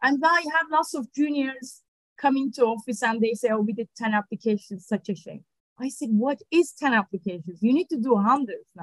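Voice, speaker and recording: A woman with a Turkish accent, high-pitched, at a fairly quick pace, with big swings in loudness, dry sound with no echo and a quiet background. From Turkey, Ankara. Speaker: litigation funder. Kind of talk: interview. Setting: video call. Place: office. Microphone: video call.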